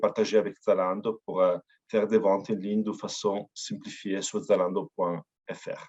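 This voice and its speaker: A man's medium-pitched voice with an Italian accent, fairly slow pace, dry, close sound with no echo. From Italy. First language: Italian (speaking French). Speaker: company representative. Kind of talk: webinar presentation. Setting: online webinar. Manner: hesitant, frequent fillers.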